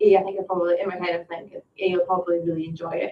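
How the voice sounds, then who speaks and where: A woman speaks at a medium pitch. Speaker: podcast co-host. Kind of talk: casual chat. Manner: fast.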